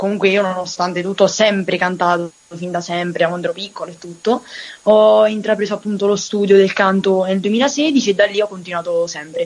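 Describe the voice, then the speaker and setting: A woman's medium-pitched voice, with ordinary pitch variation, comes through against noticeable background noise. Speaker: singer. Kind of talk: interview. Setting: remote call.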